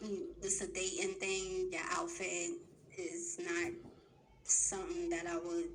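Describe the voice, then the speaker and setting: Audible room echo behind a woman talking at a moderate pace. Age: 40s. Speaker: dating show contestant. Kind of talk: dating show conversation. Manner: blunt.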